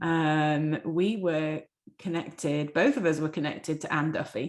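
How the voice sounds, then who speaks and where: A woman with an English accent, a very deep, low pitch, fairly even intonation and a fairly slow pace, in a very clean recording over a silent background. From England. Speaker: dentist. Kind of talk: podcast interview.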